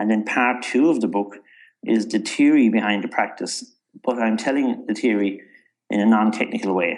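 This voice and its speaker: Here a man speaks with a Cork accent and a fairly low pitch. His pace is moderate. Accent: Irish (Cork). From Ireland, North County Cork. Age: 60s. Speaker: author and entrepreneur. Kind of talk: interview.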